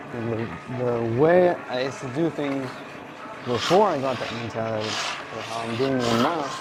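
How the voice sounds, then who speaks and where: Amid noticeable background noise and audible room echo, a man talks at a medium pitch with ordinary pitch variation. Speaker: meat department worker, vlogger. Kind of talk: casual monologue while working. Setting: workplace, cleaning equipment. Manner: swallows words, halting. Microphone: muffled audio.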